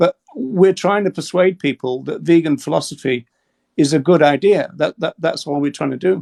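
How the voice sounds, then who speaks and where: With an English accent, a man speaks at a fairly quick pace with lively intonation, the sound dry and close with no echo. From England. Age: 60s. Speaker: animal rights advocate. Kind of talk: debate with a TikTok caller. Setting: TikTok live video call. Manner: halting, many repetitions.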